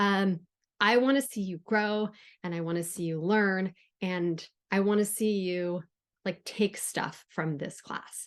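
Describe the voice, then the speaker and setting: Speaking at a fairly slow pace, a woman with a slight Southern California accent keeps a medium pitch and fairly even intonation. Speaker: writing instructor. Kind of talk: recorded lecture. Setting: recorded on Zoom. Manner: casual, with frequent fillers.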